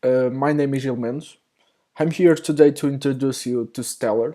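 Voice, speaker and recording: A man with a non-native accent speaks at medium pitch in a dark, mellow tone with fairly even intonation, in a very clean recording with a silent background. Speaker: software developer. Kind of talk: tutorial. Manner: halting, many fillers.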